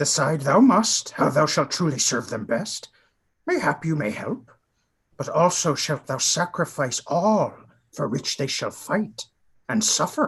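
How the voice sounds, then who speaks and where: A man puts on a character voice with a fairly high pitch. He talks at a fairly slow pace with lively intonation. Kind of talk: Shakespearean verse reading. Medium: stage play. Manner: inverted word order, calm, sage.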